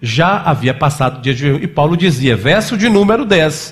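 Here a man speaks at a fairly high pitch with very wide pitch swings. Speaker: pastor. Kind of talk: sermon.

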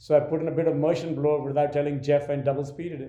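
Speaking very fast with an Indian accent, a man keeps a monotone, flat intonation and a dark, mellow tone. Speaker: film director. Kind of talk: interview conversation.

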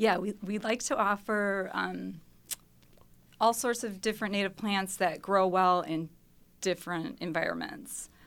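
An ordinary speaking voice from a woman with an American accent, at a fairly slow pace with ordinary pitch variation, on a very clean recording with a silent background. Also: medium pitch for a woman. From Mount Pleasant, Wisconsin. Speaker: scientist and native plant sale organizer. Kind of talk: casual radio interview. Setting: studio.

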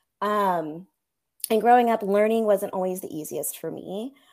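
Recorded very cleanly against a silent background, a woman with a normal speaking voice talks fairly slowly with ordinary pitch variation. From California, Central Coast. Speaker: elementary school teacher. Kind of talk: interview.

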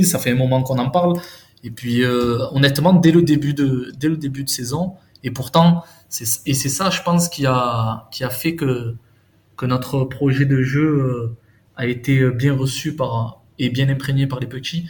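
Somewhat breathy and medium in pitch, a man talks fairly slowly with ordinary pitch variation. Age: 30s. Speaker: youth football coach. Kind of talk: casual chat.

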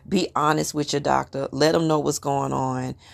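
A woman's very deep, low voice with vocal fry, at a moderate pace, on a very clean recording with a silent background. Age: 30s. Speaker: podcast host. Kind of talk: casual monologue. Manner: animated.

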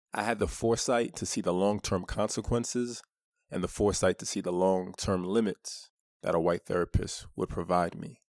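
A man with a New York accent and a fairly low pitch speaks at a moderate pace with ordinary pitch variation. The very clean recording has a silent background and a dry, close sound with no echo. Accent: New York (Brooklyn) American. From Brooklyn, New York, US. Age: 30s. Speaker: author. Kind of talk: personal monologue promoting an audiobook.

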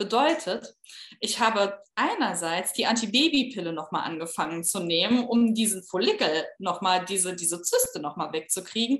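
A woman's normal speaking voice at medium pitch, with lively intonation and a moderate pace. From Saarland, Saarbrücken. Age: 30s. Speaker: fertility patient sharing her story. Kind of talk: interview, personal testimony.

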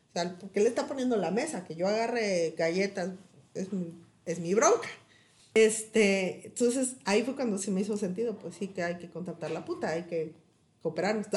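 A woman's ordinary speaking voice at a medium pitch, a moderate pace and ordinary pitch variation. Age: 30s. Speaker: podcast host. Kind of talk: casual chat.

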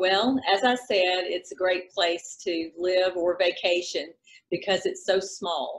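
A woman speaks with a Southern US accent. Her pace is very slow. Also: medium pitch for a woman, ordinary pitch variation. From South Carolina. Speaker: real estate broker. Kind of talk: casual interview chat.

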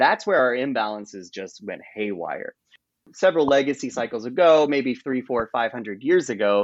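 Here is a man with an American accent and an ordinary speaking voice. He talks at a moderate pace with lively intonation. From rural US. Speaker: author. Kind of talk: interview.

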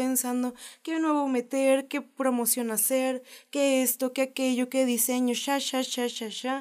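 A woman's high-pitched voice at a fairly slow pace, in a very clean recording with a silent background. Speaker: podcast co-host. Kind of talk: casual chat.

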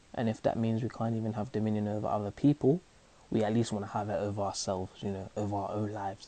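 Against a quiet background, a man with a London accent speaks very fast with a fairly low pitch, a dark, mellow tone and fairly even intonation. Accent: London multicultural youth English. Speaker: actor and spoken word artist. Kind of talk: casual conversation. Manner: conversational, filler-heavy, halting.

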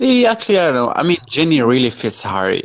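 A man with a Moroccan accent, very wide pitch swings and a dry, close sound with no echo. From Morocco. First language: Arabic. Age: 20s. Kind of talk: casual chat.

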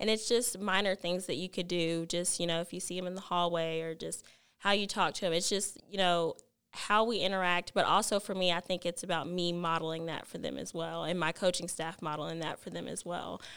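On a very clean recording with a silent background, a woman uses a normal speaking voice with an American accent and fairly even intonation. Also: fairly low pitch for a woman, fairly quick pace. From Texas (Alvarado). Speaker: high school basketball coach. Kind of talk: casual interview.

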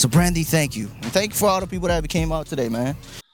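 Lively male intonation with music in the background. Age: 20s. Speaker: street interview content creator. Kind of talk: casual podcast chat. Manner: laid-back, repeats filler phrases.

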